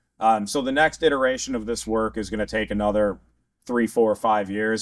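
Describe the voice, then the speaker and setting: In a very clean recording with a silent background, a normal speaking voice moves at a fairly quick pace with fairly even intonation. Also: man. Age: 40s. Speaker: podcast host, waterfowl scientist. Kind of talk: casual interview. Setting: conference.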